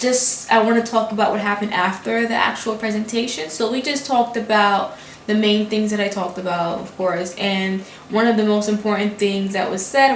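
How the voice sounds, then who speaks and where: Amid noticeable background noise and audible room echo, a woman with a Haitian accent speaks at a moderate pace in a fairly high-pitched voice with fairly even intonation. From Brooklyn, New York, Haitian family. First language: Haitian Creole. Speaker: graduate student. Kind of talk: casual vlog talk. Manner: words run together.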